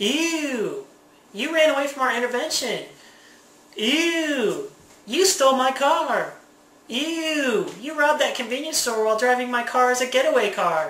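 A woman uses a put-on character voice that is high and whiny. She speaks at a moderate pace, with audible echo. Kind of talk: comic overacting. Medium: solo performance. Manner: whiny, exaggerated disgust.

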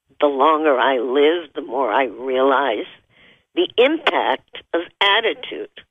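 A woman with a very deep, low pitch and a warm tone speaks at a very slow pace with lively intonation. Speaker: radio talk show host and spiritual counselor. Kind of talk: interview. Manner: warm and effusive.

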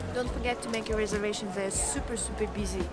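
Loud music fills the background. A woman talks over it. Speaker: travel vlogger. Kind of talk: casual vlog chat. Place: street. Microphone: phone near.

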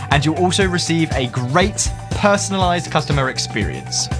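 Clear music plays in the background. The speaker has a British accent and keeps a moderate pace. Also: man. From United Kingdom. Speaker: spokesperson, voice actor. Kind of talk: promotional talk to camera. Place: studio.

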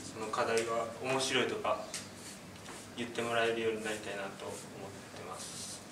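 At a moderate pace, a man talks with monotone, flat intonation over noticeable background noise. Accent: Kyoto. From Kyoto, Japan. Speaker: outdoor vocational school student. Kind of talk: self-introduction speech to classmates. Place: classroom. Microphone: camera far.

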